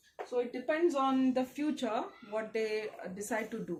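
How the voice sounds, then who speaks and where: Moderate-paced speech from a woman, with noticeable noise behind her. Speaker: tarot card reader. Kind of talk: tarot reading. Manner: halting.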